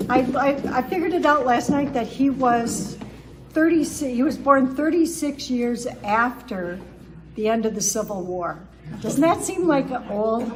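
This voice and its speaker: Over noticeable background noise and audible room echo, a high-pitched woman talks at a fairly slow pace with lively intonation. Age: 70s. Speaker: speaker, former pastor and grocery manager. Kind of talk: public talk. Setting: town hall with audience.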